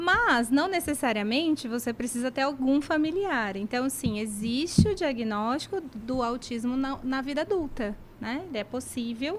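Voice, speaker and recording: A woman with a high pitch talks at a fairly slow pace with lively intonation and hardly any pauses. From Brazil, Cuiabá. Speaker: speech therapist and professor. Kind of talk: radio interview.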